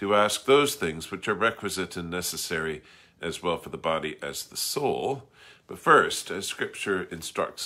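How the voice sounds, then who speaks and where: Quiet surroundings behind a male voice with a bright, sharp tone. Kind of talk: liturgical reading. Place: home room. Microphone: phone near.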